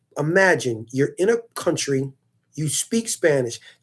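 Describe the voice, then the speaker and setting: Speaking in a New York accent, a man uses an animated tone and lively intonation. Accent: New York American English. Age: 30s. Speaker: streamer answering viewer comments. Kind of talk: casual monologue to viewers.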